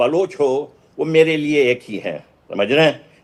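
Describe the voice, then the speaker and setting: The speaker is a man. His pitch is fairly high. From Balochistan, Pakistan. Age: 60s. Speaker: activist. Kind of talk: news interview. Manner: impassioned.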